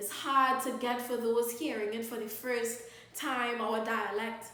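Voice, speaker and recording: Against noticeable background noise, a woman with a Trinidadian accent speaks fairly slowly in a fairly high voice. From Trinidad and Tobago. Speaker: spoken word poet. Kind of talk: spoken word poetry performance.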